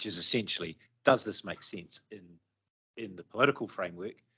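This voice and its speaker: At a moderate pace, a New Zealand-accented voice with a bright, sharp tone and ordinary pitch variation comes through with a dry, close sound and no echo. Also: man. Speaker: transport agency official. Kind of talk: committee meeting presentation.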